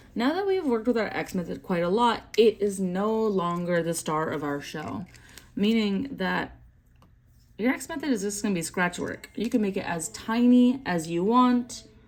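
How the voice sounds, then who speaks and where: A woman with an ordinary speaking voice talks at a moderate pace and medium pitch, her intonation lively. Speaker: math teacher. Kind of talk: tutorial.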